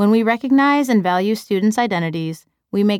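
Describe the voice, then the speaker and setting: In a very clean recording with a silent background and a dry, close sound with no echo, a woman with an American accent and an unremarkable speaking voice speaks at a fairly quick pace, her pitch medium and its variation ordinary. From US Midwest, Chicago. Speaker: teacher and author narrating own book. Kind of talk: audiobook narration.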